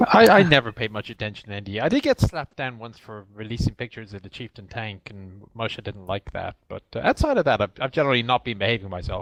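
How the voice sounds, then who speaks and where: At a very fast pace, a man with a slight Irish accent speaks in a dry, close sound with no echo. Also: medium pitch for a man, ordinary pitch variation, hardly any pauses. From Ireland. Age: 40s. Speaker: military historian, game company representative. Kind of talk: podcast interview.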